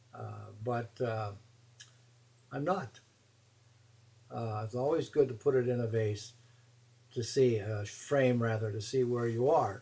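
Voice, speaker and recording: A man speaks in a dark, mellow, somewhat breathy tone with ordinary pitch variation. Long, frequent pauses break up his speech. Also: medium pitch for a man, fairly slow pace. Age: 70s. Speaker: watercolor teacher. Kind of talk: tutorial. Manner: halting, many fillers.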